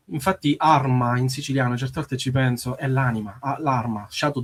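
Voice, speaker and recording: This man's voice is somewhat breathy and medium in pitch, moving at a fairly quick pace with fairly even intonation. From Sicily. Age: 30s. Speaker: musician. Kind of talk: radio interview. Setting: radio studio. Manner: halting.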